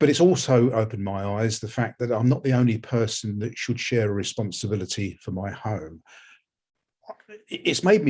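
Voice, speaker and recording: Speaking with an English accent at a moderate pace, a man has a dark, mellow, somewhat breathy tone, medium pitch and ordinary pitch variation. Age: 60s. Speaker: research participant, homeowner. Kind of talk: personal testimony. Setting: webinar. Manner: halting, repeats words.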